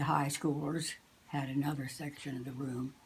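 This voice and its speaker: Very deep and low in pitch, a woman with an American accent talks with monotone, flat intonation. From USA. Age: 80s+. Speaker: musician. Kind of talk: interview answer.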